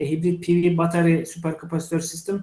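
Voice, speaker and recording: A man speaks with a high pitch in a Turkish accent. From Turkey. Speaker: engineering professor. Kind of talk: lecture. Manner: halting, many fillers.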